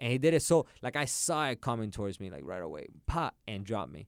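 A man with a Puerto Rican accent speaks at a moderate pace in a medium pitch, his intonation lively. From Puerto Rico (Carolina). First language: Spanish. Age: 30s. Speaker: jiu-jitsu and MMA practitioner. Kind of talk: casual chat.

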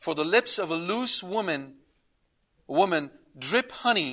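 Against a quiet background, a man uses a raised, projected voice with a high pitch. His tone is bright and sharp, with lively intonation. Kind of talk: lecture. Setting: lecture to a live audience. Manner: zealous, animated.

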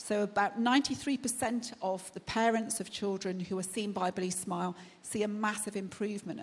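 A woman's somewhat breathy voice with fairly even intonation, at a fairly slow pace. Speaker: charity representative. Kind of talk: speech. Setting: church.

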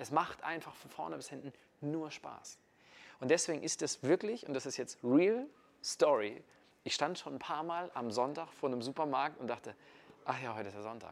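A man speaks with a fairly high pitch and lively intonation at a moderate pace. His loudness swings widely, and his pauses are long and frequent. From northern Germany, Kiel. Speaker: network marketer. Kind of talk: casual interview. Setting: in person in Munich.

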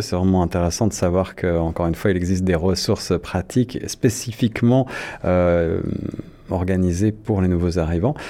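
His voice is very deep and low, a man with a dark, mellow tone. The intonation stays fairly even. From France. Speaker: radio host. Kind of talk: radio interview. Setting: studio.

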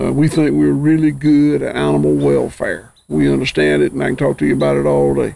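A man with a Southern US accent at a moderate pace. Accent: Southern US (Georgia). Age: 60s. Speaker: farmer. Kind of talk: casual chat.

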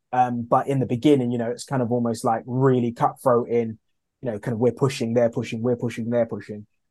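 A man in a London accent, dark and mellow in tone, with monotone, flat intonation against a quiet background. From East London, England. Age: 30s. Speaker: food brand founder. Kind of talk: interview.

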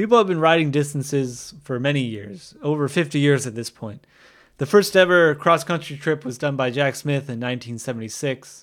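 An American-accented man with an unremarkable speaking voice talks at a moderate pace with lively intonation and a fairly high pitch, on a very clean recording with a silent background. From US Northeast, northern New Jersey. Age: 30s. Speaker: podcast host, skateboarder. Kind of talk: solo podcast monologue.

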